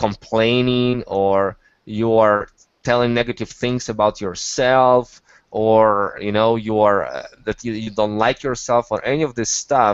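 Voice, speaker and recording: A man speaks at a medium pitch with a non-native accent. His intonation is flat and monotone, and his pace is fairly slow. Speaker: online business coach. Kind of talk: live webinar teaching. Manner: halting, many repetitions and fillers.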